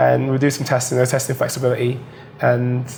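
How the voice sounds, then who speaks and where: Talking at a very fast pace, a man with a British accent has a medium pitch. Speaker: diver. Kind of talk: casual chat.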